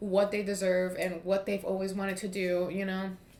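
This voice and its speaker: Speaking at a moderate pace with an American accent, a woman has a medium pitch, and audible room echo surrounds her voice. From US East Coast. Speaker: tarot reader. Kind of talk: tarot reading monologue. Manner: casual, filler-heavy.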